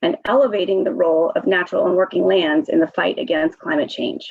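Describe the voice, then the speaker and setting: A woman's medium-pitched voice moves at a fairly quick pace. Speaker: state climate official. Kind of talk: webinar presentation. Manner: fast.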